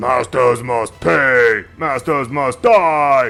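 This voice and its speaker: Using a put-on character voice, a man talks very slowly at a medium pitch. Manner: fierce, rallying.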